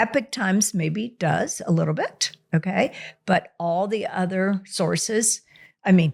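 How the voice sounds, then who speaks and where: A woman with vocal fry and a medium pitch speaks at a fairly slow pace in an animated tone, with ordinary pitch variation. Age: 60s. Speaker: doctor. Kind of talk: interview.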